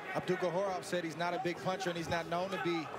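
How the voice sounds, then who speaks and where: Loud background noise sits behind a man talking at a fairly quick pace. The sound itself is dry with no echo. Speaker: boxing color commentator. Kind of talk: commentary.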